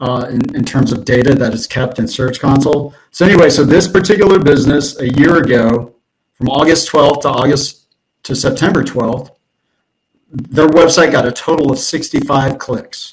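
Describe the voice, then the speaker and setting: A man with a fairly high pitch talks at a moderate pace, somewhat breathy, with ordinary pitch variation. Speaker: SEO consultant. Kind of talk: presentation. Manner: halting, many fillers.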